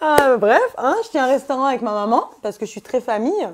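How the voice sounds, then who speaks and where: A woman talks fairly quickly, her pitch shifting in an ordinary way. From Paris suburbs, Essonne; France. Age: 20s. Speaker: reality TV contestant; TV interviewee. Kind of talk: casual interview. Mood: candid, sometimes indignant. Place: home room.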